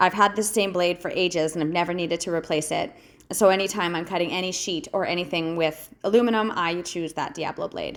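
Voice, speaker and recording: Her pitch fairly low, a woman talks at a fairly quick pace with fairly even intonation. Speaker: welder and metal fabricator. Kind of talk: voice-over narration of a project video. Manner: casual, some hesitations and filler words.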